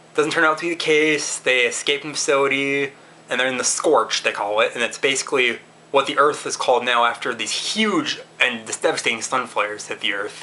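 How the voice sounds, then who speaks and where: With noticeable background noise behind him, a man talks at a fairly quick pace. His voice sits fairly high in pitch, with ordinary variation. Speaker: movie reviewer. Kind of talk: casual video review. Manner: fast; halting, many restarts and fillers.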